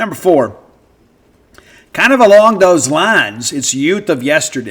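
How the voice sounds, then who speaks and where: A high-pitched man with a Mississippi accent and very wide pitch swings. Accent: US Southern (Mississippi). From South Mississippi. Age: 50s. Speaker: sports radio host. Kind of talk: casual podcast monologue.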